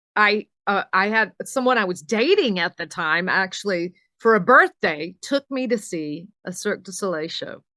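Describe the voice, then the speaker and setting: Bright and sharp in tone, a voice with an American accent moves at a moderate pace with lively intonation, recorded dry and close with no echo against a quiet background. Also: woman, medium pitch for a woman. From US South, Alabama. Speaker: singer and speaking coach. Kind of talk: podcast interview.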